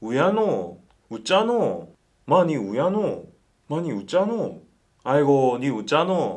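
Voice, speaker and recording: A man with a Busan accent speaks at a moderate pace in a fairly high pitch with very wide pitch swings. His speech has long, frequent pauses. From Busan, South Korea. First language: Korean. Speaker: language teacher.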